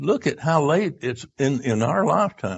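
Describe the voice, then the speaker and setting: Speaking at a very slow pace, a man uses a fairly high pitch with very wide pitch swings and vocal fry. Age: 90s. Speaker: retreat speaker. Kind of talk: lecture. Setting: church retreat audience. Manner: halting.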